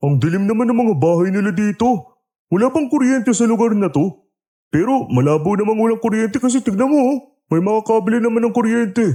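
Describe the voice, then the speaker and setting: Using a put-on character voice, a man speaks high and at a fairly quick pace, with lively intonation and very even loudness. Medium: audio drama. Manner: complaining, blunt.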